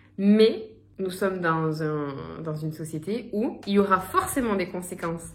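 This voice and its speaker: A woman speaks at a medium pitch and a fairly slow pace with ordinary pitch variation, amid audible room echo and noticeable background noise. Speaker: lifestyle youtuber. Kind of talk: casual vlog monologue. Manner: stuttering, halting.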